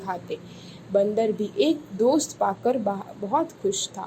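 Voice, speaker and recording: With a normal speaking voice, a woman talks at a fairly high pitch with lively intonation. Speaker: voice over artist. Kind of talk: children's story narration.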